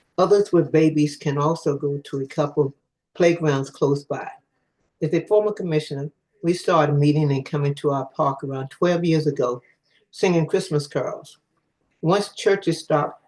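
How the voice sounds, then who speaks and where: A man speaks in a fairly high, somewhat breathy voice. His pace is moderate and his intonation fairly even. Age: 80s+. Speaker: public witness, community association member. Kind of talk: public testimony. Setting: hybrid council hearing.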